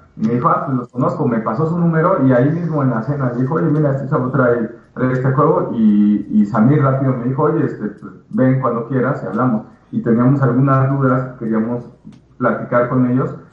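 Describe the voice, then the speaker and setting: Amid audible room echo, a man with a medium pitch and ordinary pitch variation speaks at a fairly quick pace. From Mexico. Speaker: video game developer. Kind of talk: interview. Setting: live stream.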